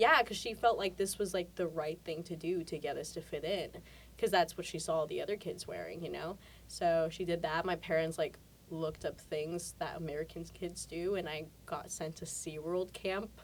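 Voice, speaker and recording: This woman's pitch is fairly low. Vocal fry runs through her voice. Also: fairly even intonation, moderate pace. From Mexico, with early childhood in El Paso and later teens in San Antonio, Texas. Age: 20s. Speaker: actress. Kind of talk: interview. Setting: TV studio.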